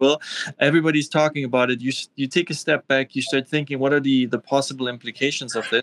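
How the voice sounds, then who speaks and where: Speaking very fast with a German accent, a man with a fairly high pitch sounds dry and close, with no echo. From Austria (Vienna), East German-born. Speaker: tech entrepreneur, cryptocurrency founder. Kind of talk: interview.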